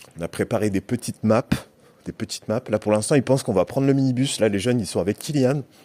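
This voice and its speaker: A man's voice, dark and mellow in tone, with a dry, close sound and no echo. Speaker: youth worker / vlogger. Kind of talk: casual vlog. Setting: indoor swimming pool building. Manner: hesitant, many fillers.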